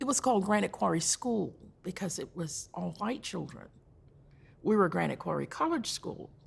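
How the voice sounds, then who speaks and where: Here a woman talks at a fairly slow pace. She speaks with a North Carolina accent. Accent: Southern US (North Carolina). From US South, North Carolina (Rowan County). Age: 70s. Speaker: community elder speaker. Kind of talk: talk to a church audience, personal history.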